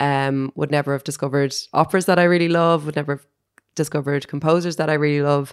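A woman speaks very fast in a very deep, low voice with monotone, flat intonation. The recording is very clean, with a silent background. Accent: Irish. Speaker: co-host. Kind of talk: casual chat.

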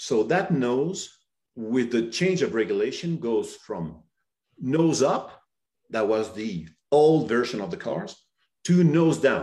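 This man's fairly high voice has vocal fry, a dark, mellow tone and very wide pitch swings. He speaks at a very slow pace with long, frequent pauses. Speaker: company representative. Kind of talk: webinar presentation.

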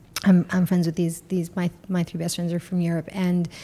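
In a New York accent, a woman speaks with monotone, flat intonation at a fairly low pitch, her tone dark and mellow. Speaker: businesswoman and mother. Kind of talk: casual chat.

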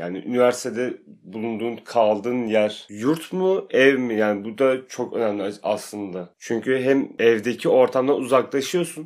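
Recorded very cleanly against a silent background, a man talks in a normal speaking voice at medium pitch and moderate pace with ordinary pitch variation. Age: 20s. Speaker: factory employee, university graduate. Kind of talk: casual chat.

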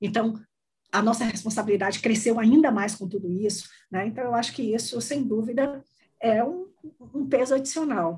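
A woman with a fairly high, somewhat breathy voice talks at a fairly quick pace with ordinary pitch variation. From Brazil, Salvador, Bahia. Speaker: HR executive. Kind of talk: interview.

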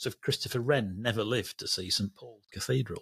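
Dry, close sound with no echo, in a Lancashire accent. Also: man. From Lancashire, Burnley. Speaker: railway journalist, podcast co-host. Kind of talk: casual chat.

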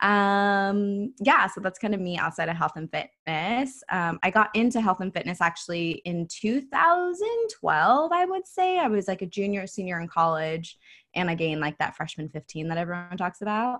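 The background is quiet as a woman talks at a moderate pace and medium pitch. She has a plain, everyday voice with ordinary pitch variation. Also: hardly any pauses. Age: 20s. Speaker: online health and mindset coach, retired bikini pro. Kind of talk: casual interview.

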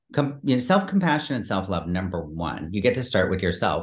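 A man talks with a fairly low pitch and very wide pitch swings. The background is quiet. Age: 50s. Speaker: performance coach and personal trainer. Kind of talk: casual chat. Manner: halting.

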